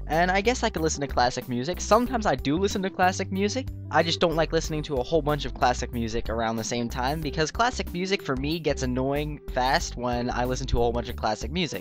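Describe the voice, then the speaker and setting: A man's upbeat, very fast speech with music in the background. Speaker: gaming YouTuber. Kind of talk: casual gaming commentary and Q&A.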